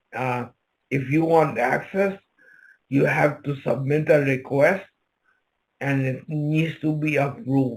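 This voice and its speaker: Somewhat breathy, a man speaks at a very slow pace with a fairly high pitch, ordinary pitch variation, and long, frequent pauses. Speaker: presenter. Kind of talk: Q&A session. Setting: video call.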